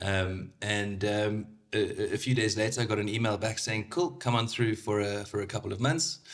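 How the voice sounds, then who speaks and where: With a South African accent, a man with a fairly low pitch speaks at a moderate pace on a very clean recording with a silent background. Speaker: motorsport sales manager. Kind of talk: casual podcast interview. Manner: hesitant, many fillers.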